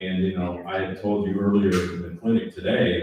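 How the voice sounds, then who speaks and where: A man with a very deep, low pitch and an American accent, at a fairly quick pace, with audible room echo. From Southern California. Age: 70s. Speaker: former tour golfer. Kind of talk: panel talk at a seminar.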